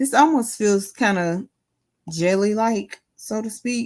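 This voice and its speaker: Here a woman talks in a normal speaking voice at a fairly slow pace. Her pitch variation is ordinary. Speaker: crafting YouTuber. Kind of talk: craft tutorial. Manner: casual, chatty.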